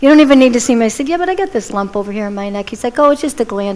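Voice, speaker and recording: Lively intonation and a fairly high pitch mark a woman's speech over noticeable background noise. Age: 50s. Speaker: inspirational speaker, cancer survivor. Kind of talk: inspirational talk. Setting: church stage with audience.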